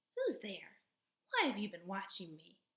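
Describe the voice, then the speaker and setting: A woman uses a put-on character voice with a hissing quality. Her pitch is medium and her pace moderate. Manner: hissing, wary.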